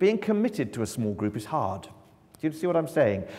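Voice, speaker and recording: With a fairly high pitch, very wide pitch swings and vocal fry, a man speaks in a dark, mellow tone. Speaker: mission agency communications director. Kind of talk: church mission talk. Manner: loud; projecting.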